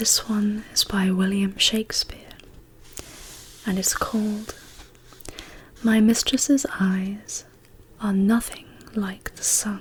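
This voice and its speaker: Noticeable background noise surrounds a woman speaking very slowly at a fairly high pitch, with fairly even intonation and long, frequent pauses. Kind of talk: poetry reading. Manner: whispered, soft-spoken.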